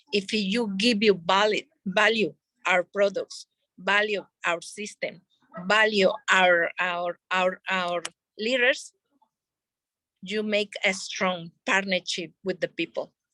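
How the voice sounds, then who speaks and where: A woman's very slow, medium-pitched speech with a non-native accent, bright and sharp in tone, fairly even in intonation, broken by long, frequent pauses, in a dry, close sound with no echo. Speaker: network marketing leader. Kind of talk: sales training talk.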